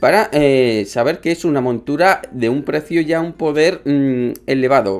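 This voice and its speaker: A man with a fairly high pitch talks at a fairly slow pace. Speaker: gaming youtuber. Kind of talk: casual video commentary. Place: home room.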